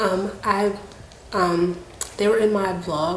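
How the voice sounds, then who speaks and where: A soft-spoken woman whispers amid noticeable background noise and audible room echo. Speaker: YouTuber / vlogger. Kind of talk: casual chat. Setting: home living room. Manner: soft-spoken, near whisper. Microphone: slight room echo.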